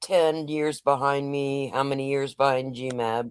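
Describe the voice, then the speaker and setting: A woman's very deep, low voice at a fairly slow pace, in a dry, close sound with no echo. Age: 60s. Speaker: livestream panel guest. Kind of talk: casual chat.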